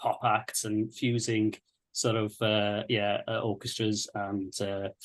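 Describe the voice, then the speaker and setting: A man talks with a slight Welsh accent. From North Wales. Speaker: composer. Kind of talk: panel webinar. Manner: halting.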